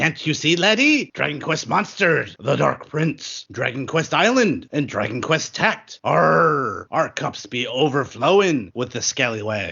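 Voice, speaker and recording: In a put-on character voice pitched fairly high, a man talks at a fairly slow pace with hardly any pauses. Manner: playful, swashbuckling, punny.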